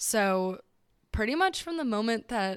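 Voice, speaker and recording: A woman with an American accent speaks at a moderate pace in a very clean recording with a silent background. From Southern California. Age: 20s. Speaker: podcast host. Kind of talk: casual solo monologue. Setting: home recording at microphone.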